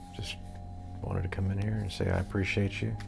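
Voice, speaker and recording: Music plays in the background, and the room echo is audible. A man speaks at a very deep, low pitch with fairly even intonation. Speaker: pipe tobacco vlogger. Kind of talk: casual vlog. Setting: small apartment room. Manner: loud.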